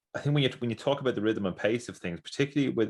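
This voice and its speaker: A man with an Irish accent on a very clean recording with a silent background. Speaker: podcast host. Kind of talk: podcast interview. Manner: halting, many fillers and repeats.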